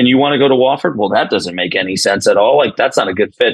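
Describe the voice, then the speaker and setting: A man with a New York accent races along at a very fast pace, his energetic tone marked by vocal fry. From New York (Binghamton). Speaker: college baseball head coach. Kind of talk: podcast interview.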